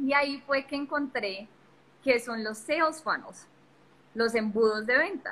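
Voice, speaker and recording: A woman with a high pitch and a bright, sharp tone speaks at a fairly slow pace, showing ordinary pitch variation and taking long, frequent pauses. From Colombia. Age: young. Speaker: digital marketing entrepreneur. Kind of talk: casual interview on a live stream. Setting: live video stream from a phone.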